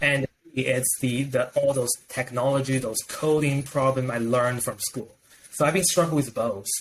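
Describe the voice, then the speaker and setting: Speaking at a moderate pace with a non-native accent, a man keeps a medium pitch and fairly even intonation. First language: not English. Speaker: professor and software professional. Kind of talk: interview conversation. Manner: halting, repeats words.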